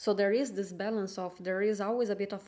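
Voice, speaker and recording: A woman speaks with a non-native accent at medium pitch. Her tone is dark and mellow, and her intonation is monotone and flat. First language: not English. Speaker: tarot reader. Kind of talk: tarot reading monologue. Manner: halting.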